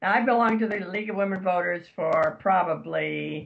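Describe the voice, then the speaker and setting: A woman with vocal fry speaks at medium pitch and a fairly slow pace. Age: 80s+. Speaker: retired civic volunteer. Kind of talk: interview.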